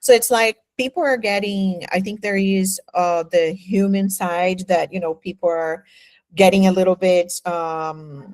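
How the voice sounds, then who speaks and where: A woman's medium-pitched voice with a Portuguese accent, fairly slow in pace, with ordinary pitch variation and a dry, close sound with no echo. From Brazil. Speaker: podcast host, hospitality professional. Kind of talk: podcast interview.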